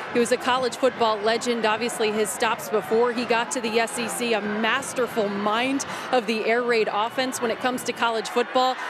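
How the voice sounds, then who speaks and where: A woman speaks at a moderate pace with hardly any pauses, her fairly high pitch held in a monotone, flat intonation. The sound is dry with no echo, though noticeable background noise runs underneath. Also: very even loudness. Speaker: sideline reporter. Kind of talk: sideline reporting, interviewing. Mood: somber, respectful tribute. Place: stadium. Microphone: handheld.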